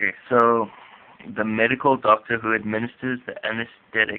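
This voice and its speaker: A man with a non-native accent, medium in pitch, at a fairly quick pace with fairly even intonation. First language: not English. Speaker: student vlogger explaining vocabulary. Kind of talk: tutorial. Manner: halting.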